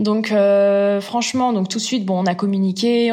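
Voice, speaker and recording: A woman speaks at a moderate pace in a medium pitch. Her intonation is flat and monotone. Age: 30s. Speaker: entrepreneur. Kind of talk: interview. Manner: hesitant, many fillers.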